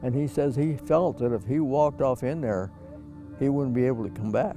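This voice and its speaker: Over music in the background, a man with a medium-pitched voice speaks with lively intonation. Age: 80s+. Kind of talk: interview answer.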